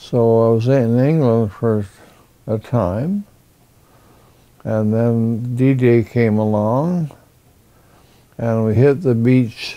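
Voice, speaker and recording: Speaking with a Canadian accent, a man has a medium pitch and a dark, mellow tone with ordinary pitch variation. His pace is very slow, with long, frequent pauses. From northern British Columbia, Canada. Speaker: war veteran. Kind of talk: interview. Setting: at home. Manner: halting.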